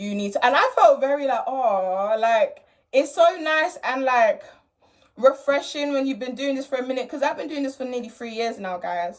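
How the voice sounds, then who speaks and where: A woman talks at a moderate pace in a high voice. Her intonation is lively. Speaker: rapper reacting to own performance. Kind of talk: casual reaction video commentary. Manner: loud, expressive; animated.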